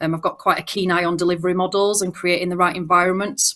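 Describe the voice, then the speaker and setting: Heard in a Yorkshire accent, a woman speaks with fairly even intonation. The recording is very clean, with a silent background. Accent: broad Yorkshire. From Yorkshire, northern England. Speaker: banking technology manager. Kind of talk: panel discussion.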